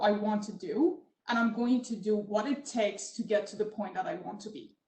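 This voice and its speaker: A woman talks with a non-native accent. Her pace is moderate. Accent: foreign accent in English. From Middle East. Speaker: tech entrepreneur in oil and gas. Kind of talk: panel discussion. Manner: many filler ums.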